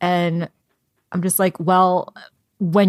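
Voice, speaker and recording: With an ordinary speaking voice, a woman talks at a fairly slow pace and a fairly low pitch, in a dry, close sound with no echo. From US (Korean American, moved from Seoul at age three). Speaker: book podcast co-host. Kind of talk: casual book discussion.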